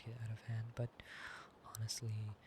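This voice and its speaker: Soft-spoken, a man talks at a moderate pace with a medium pitch. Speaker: ASMR creator. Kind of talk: sleep-aid roleplay chat.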